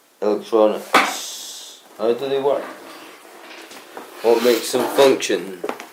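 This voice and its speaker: A man's medium-pitched voice with ordinary pitch variation, a very slow pace and long, frequent pauses, plus noticeable background noise. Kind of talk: casual talk to camera. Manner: stuttering, hesitant.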